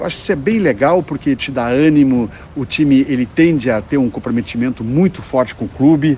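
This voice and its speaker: This man talks at a fairly quick pace in a medium male pitch, with ordinary pitch variation and noticeable background noise. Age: 60s. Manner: halting, many fillers and repetitions.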